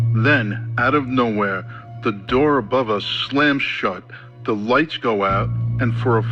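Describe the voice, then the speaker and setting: Music plays in the background as a man speaks at a fairly slow pace. His pitch is medium and his intonation fairly even. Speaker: storyteller. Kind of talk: first-person horror story narration. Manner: atmospheric.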